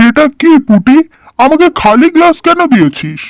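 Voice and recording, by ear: In a high-pitched, cartoonish character voice, the speaker talks at a moderate pace.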